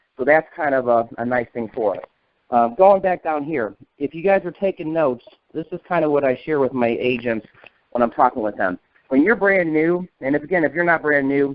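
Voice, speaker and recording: A fairly quick pace in an American accent, with ordinary pitch variation. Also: man. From northern US. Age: 40s. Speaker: insurance agency manager. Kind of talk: training talk on a conference call. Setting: phone call. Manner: fast.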